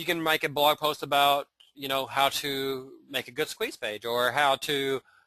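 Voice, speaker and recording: Speaking at a fairly slow pace in a Southern US accent, a man uses a fairly high pitch, a bright, sharp tone and fairly even intonation, in a dry, close sound with no echo. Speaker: internet marketer. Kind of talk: webinar training. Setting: live webinar. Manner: casual, hesitant with many fillers.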